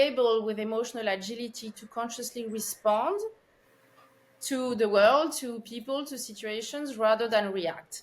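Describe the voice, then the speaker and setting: A woman with a French accent and fairly high pitch speaks at a fairly slow pace with fairly even intonation. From France, Paris. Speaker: consciousness researcher, former finance executive. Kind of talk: podcast interview.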